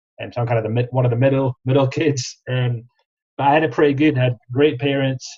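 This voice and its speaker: A man talks at a very fast pace, his pitch medium and his intonation monotone and flat. His voice is somewhat breathy. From Scotland, Kirriemuir near Dundee. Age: 30s. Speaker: franchise sales specialist. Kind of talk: podcast interview.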